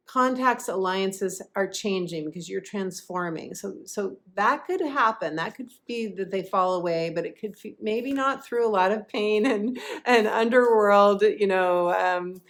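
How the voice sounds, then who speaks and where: This woman has an unremarkable speaking voice at a medium pitch with ordinary pitch variation. She talks at a fairly slow pace with hardly any pauses, on a very clean recording with a silent background. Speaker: intuitive astrologer and life coach. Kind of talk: astrology forecast with card reading.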